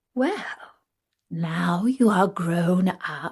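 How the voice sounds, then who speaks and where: A woman's put-on character voice at a medium pitch. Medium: read story. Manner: dignified, authoritative.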